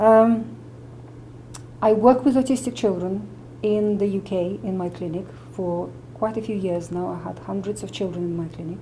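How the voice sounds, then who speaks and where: The speaker has lively intonation and a moderate pace, broken by long, frequent pauses. Audible room echo surrounds the voice. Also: woman, medium pitch for a woman. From Russia. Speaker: medical doctor and nutritionist. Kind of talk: interview explanation.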